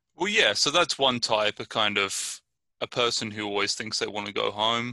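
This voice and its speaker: Dry and close with no echo, a man's bright, sharp voice moves at a moderate pace in an English accent. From southern England, Brighton. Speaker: podcast co-host. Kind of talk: casual chat.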